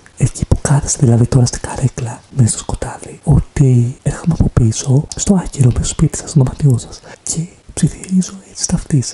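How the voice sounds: Whispering in a put-on character voice, a man sounds breathy.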